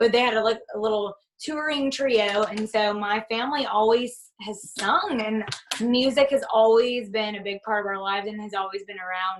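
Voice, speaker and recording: Her pitch is fairly high and her intonation fairly even. The woman keeps to a moderate pace. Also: big swings in loudness. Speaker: rock band singer. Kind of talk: casual interview chat. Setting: podcast interview.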